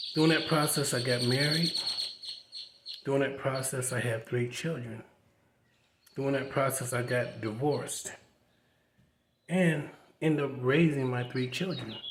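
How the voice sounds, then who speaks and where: Heard with audible room echo, a man talks at a moderate pace and a medium pitch, with fairly even intonation and long, frequent pauses. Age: 60s. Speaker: vlogger. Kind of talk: personal testimony. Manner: casual conversational.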